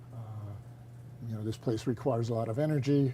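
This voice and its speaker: Here is a man at a medium pitch with a dark, mellow tone. His voice is somewhat breathy, and his intonation is fairly even. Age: 70s. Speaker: retiring teacher. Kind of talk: interview. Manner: halting.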